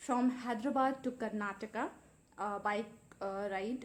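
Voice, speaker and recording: Fairly slow speech from a woman, ordinary in its pitch variation. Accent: Indian. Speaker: vlogger. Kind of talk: casual vlog talk. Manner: hesitant, many fillers.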